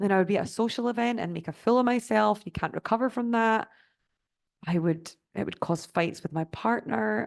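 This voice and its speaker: Against a quiet background, a woman in a Scottish accent talks at a fairly quick pace with a medium pitch. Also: ordinary pitch variation. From Scotland. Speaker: sobriety life coach. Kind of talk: online master class presentation.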